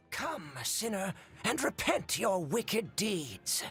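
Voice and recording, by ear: A put-on character voice at middle pitch moves at a fairly slow pace. Its pitch swings very widely, and clear music plays in the background.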